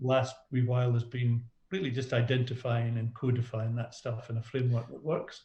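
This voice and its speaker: A man speaks with a Scottish accent in a dark, mellow tone. His voice is somewhat breathy and his intonation monotone and flat. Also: medium pitch for a man, moderate pace. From Scotland. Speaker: business coach. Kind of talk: podcast interview.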